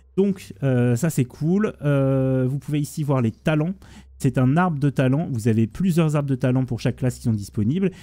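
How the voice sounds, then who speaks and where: This man's voice has a dark, mellow tone and ordinary pitch variation. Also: medium pitch for a man. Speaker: gaming YouTuber. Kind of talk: gameplay tutorial. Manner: fast.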